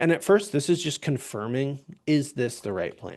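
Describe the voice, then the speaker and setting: A man speaks in a normal speaking voice at a fairly slow pace. His intonation is lively, and the background is quiet. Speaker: software trainer. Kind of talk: live webinar tutorial. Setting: live webinar with screen share.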